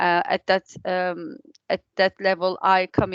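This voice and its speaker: Against a quiet background, a woman with a non-native accent speaks in a medium-pitched, monotone, flat voice with a dry, close sound and no echo. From outside England. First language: not English. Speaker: training coordinator. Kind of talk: online meeting introduction. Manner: halting, many fillers.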